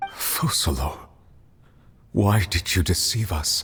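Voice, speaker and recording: A put-on character voice, pitched low and delivered at a fairly slow pace. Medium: video game. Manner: questioning, earnest.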